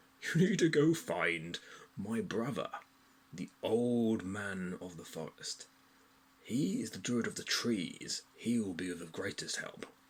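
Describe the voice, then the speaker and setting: Delivered fairly slowly, the speech is in a put-on character voice. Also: man, medium pitch for a man. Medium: read story. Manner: jovial.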